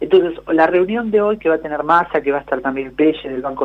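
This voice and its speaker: Fairly quick, fairly high-pitched speech from a man, ordinary pitch variation, noticeable background noise. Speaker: economics columnist. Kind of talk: radio interview.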